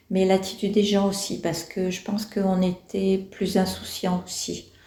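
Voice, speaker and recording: A woman speaks at a fairly slow pace in a medium pitch, with a dark, mellow tone and a somewhat breathy quality. Her intonation stays monotone and flat. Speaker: elderly interviewee. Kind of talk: reflective interview. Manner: hesitant, many fillers.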